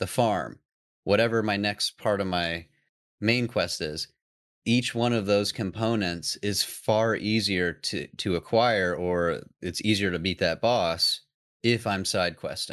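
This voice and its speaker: In a very clean recording with a silent background, a man with a plain, everyday voice and a fairly low pitch speaks at a fairly slow pace. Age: 30s. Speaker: business owner and podcast host. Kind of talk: casual interview chat.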